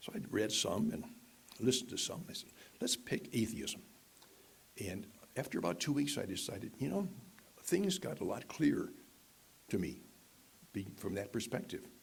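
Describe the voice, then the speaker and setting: Speaking at a moderate pace and medium pitch, a man sounds somewhat breathy, with very wide pitch swings, long, frequent pauses, and audible room echo. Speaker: guest speaker. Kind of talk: personal testimony in worship service. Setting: church with live audience. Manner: halting.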